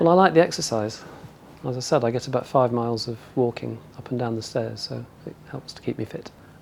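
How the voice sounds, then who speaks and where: Noticeable background noise sits behind a man speaking at a fairly quick pace, medium in pitch with ordinary pitch variation. His loudness swings widely. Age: 60s. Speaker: hospital volunteer. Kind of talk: interview testimony.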